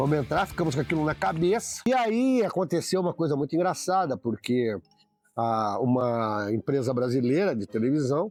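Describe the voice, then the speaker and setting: Over music in the background, a man speaks at a moderate pace and a fairly high pitch, with very wide pitch swings and very even loudness, in a dry, close sound with no echo. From Brazil, interior of São Paulo state. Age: 60s. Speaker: football fan. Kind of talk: documentary interview storytelling.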